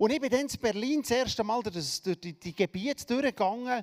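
Speaking at a moderate pace with a Swiss German accent, a man uses an extremely high pitch, an animated tone and ordinary pitch variation in a very clean, silent-background recording that is dry and close with no echo. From Switzerland. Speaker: preacher. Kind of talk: sermon.

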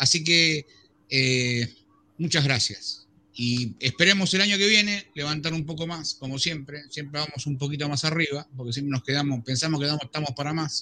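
A man with an unremarkable speaking voice, fairly high pitched, with ordinary pitch variation at a moderate pace. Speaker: co-host. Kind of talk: casual chat.

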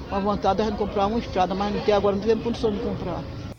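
Crowd noise fills the background. The room echo is audible. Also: woman. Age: 70s. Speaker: farmer. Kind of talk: interview.

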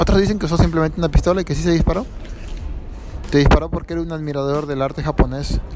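A man with a fairly high voice talks at a very fast pace, with long, frequent pauses and fairly even intonation. Background noise is noticeable. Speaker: vlogger. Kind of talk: casual monologue. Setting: outdoors.

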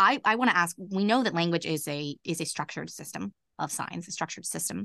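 Talking at a very fast pace, a woman has a bright, sharp tone with vocal fry, heard dry and close with no echo against a quiet background. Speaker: podcast host. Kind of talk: casual interview conversation. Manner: excitable.

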